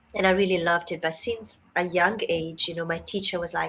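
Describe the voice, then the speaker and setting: With an Italian accent, a woman speaks at a medium pitch. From Italy. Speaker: writing mentor. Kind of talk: interview.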